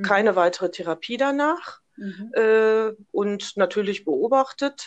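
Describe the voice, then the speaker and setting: A plain, everyday voice at a fairly slow pace with lively intonation over a quiet background. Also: woman, fairly high pitch for a woman. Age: 60s. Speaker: businesswoman and cancer-awareness advocate. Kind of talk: interview, personal story.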